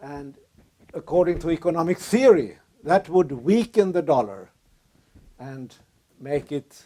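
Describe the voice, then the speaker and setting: Speaking with a Swedish accent, a man talks fairly slowly at a fairly high pitch, with lively intonation, a dark, mellow tone, big swings in loudness, and long, frequent pauses. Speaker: lecturer. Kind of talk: lecture.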